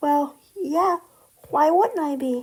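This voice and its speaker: A woman's put-on character voice, high in pitch. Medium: read story.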